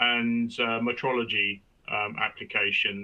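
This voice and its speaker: With a British accent, the male speaker talks in a middle pitch range. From Britain. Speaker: industry strategy executive. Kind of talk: webinar presentation. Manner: hesitant, many fillers.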